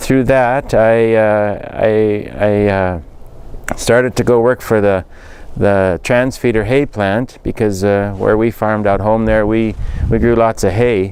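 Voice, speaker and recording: With a western Canadian accent, a man speaks fairly slowly at a fairly low pitch, his loudness very even and his intonation fairly even, over noticeable background noise. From rural central Alberta, Canada. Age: 50s. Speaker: political candidate. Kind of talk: interview. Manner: halting, many fillers.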